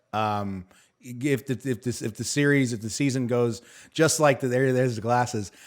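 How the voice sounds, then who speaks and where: The clip is a very clean recording with a silent background. In it, a man speaks at a moderate pace. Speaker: online review show host. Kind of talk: panel discussion review. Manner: animated.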